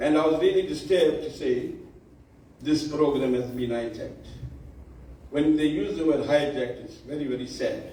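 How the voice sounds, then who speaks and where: With audible room echo, a man speaks at a moderate pace in a fairly high pitch, using fairly even intonation and long, frequent pauses. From South Africa, Durban area (Indian community). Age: 70s. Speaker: bhajan society elder. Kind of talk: speech at awards function.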